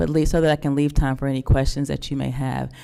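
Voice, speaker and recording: Speaking at a very fast pace with a Southern US accent, a woman has a dark, mellow tone. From North Carolina. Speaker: school district administrator. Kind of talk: presentation to a public board meeting.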